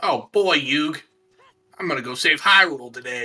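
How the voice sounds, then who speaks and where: A put-on character voice at a middle pitch moves at a moderate pace over faint music in the background. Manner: cartoonish.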